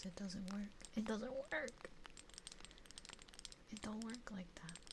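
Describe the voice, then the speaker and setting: Soft-spoken and at a very slow pace, a woman talks in a fairly high pitch with ordinary pitch variation over noticeable background noise. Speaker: VTuber streamer. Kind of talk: live stream chat with viewers, ASMR. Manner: soft-spoken, chatty, comfy.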